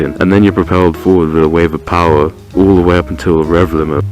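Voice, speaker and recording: With music in the background, a man speaks quietly in a very deep, low pitch with fairly even intonation. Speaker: motorcycle vlogger. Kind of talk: motorcycle review narration. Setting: inside a closed motorcycle helmet. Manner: kept quiet, subdued.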